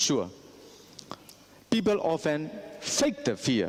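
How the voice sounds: Speaking at a slow pace, a man uses a fairly high pitch with very wide pitch swings.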